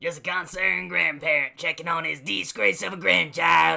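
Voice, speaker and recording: Raspy and fairly high-pitched, a man does a put-on character voice at a moderate pace. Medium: comedy sketch. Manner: gruff, bossy.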